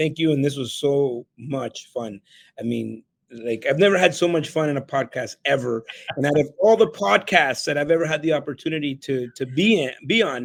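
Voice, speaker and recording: A fairly high-pitched man in a Spanish accent, with lively intonation at a moderate pace. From El Salvador, raised in Canada. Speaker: keynote speaker and real estate entrepreneur. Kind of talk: podcast interview.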